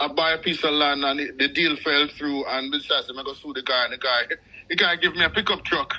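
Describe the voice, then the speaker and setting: With a Jamaican accent, a man talks at a fairly high pitch. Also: fairly even intonation. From Jamaica, Kingston. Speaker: correctional officer. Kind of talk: interview. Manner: halting.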